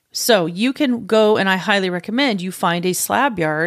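A woman's animated, medium-pitched voice carries lively intonation at a moderate pace. The recording is very clean, with a silent background. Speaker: podcast host and cabinet maker. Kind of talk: casual solo tutorial.

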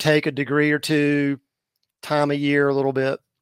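In a very clean recording with a silent background, a man talks at a fairly high pitch with fairly even intonation. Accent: coastal North Carolina. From southern North Carolina. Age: 50s. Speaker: fishing guide. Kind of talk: interview.

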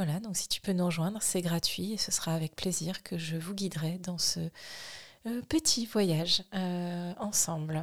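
A woman talks at a fairly slow pace with a fairly low pitch. Her voice is somewhat breathy, with fairly even intonation. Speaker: sophrologist and podcast host. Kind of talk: casual self-introduction monologue. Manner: hesitant, many fillers.

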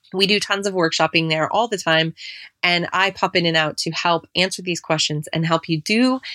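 Heard in a very clean recording with a silent background and a dry, close sound with no echo, a woman with an American accent speaks in a bright, sharp tone at a fairly low pitch. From US Pacific Northwest, Seattle. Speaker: podcast host, business coach. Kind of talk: solo podcast tutorial. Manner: fast.

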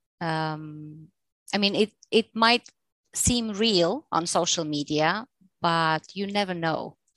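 Speaking with a Bulgarian accent, a woman has a fairly low pitch and ordinary pitch variation at a very slow pace. The background is quiet, and the sound is dry and close with no echo. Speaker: English teacher and freelancer. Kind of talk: casual interview.

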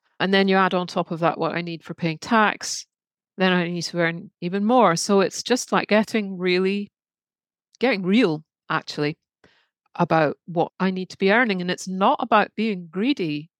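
On a very clean recording with a silent background and a dry, close sound with no echo, a woman with a British accent speaks at a medium pitch and moderate pace with ordinary pitch variation. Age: 50s. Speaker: artist and creative coach. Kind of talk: casual chat.

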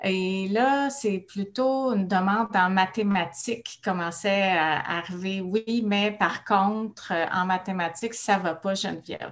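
A woman speaks at a very slow pace with a Quebec accent. Her pitch is medium and its variation is ordinary. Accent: Québécois French. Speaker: speech-language pathologist. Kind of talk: casual interview.

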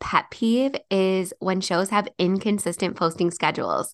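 A woman speaks at a moderate pace in a medium pitch, her intonation fairly even over a quiet background. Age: 30s. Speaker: podcast host and business coach. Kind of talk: solo podcast monologue. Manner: casual, chatty.

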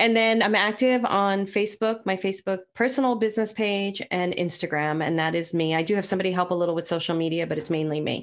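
Barely pausing at all, a woman with an American accent talks at a very fast pace. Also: medium pitch for a woman, ordinary pitch variation. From New York City (Brooklyn). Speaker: psychic medium and business owner. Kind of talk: casual interview chat.

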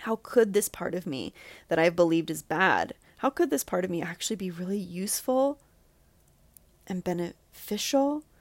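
With an American accent, a woman speaks in a plain, everyday voice at medium pitch and a moderate pace, her intonation lively and the sound dry and close with no echo. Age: 30s. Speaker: podcast host, healing coach. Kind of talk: solo monologue, personal reflection.

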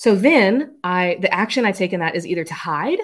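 A woman speaks in a medium pitch on a very clean recording with a silent background. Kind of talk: solo podcast monologue. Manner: fast; laughs often.

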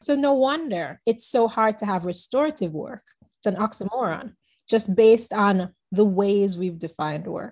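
At a moderate pace, a woman talks with lively intonation and a fairly high pitch. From Caribbean. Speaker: business consultant. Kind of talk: casual interview chat.

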